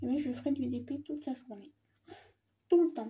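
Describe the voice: The voice has a dark, mellow tone with a husky, rough edge. It moves at a moderate pace with ordinary pitch variation. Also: woman, high pitch for a woman.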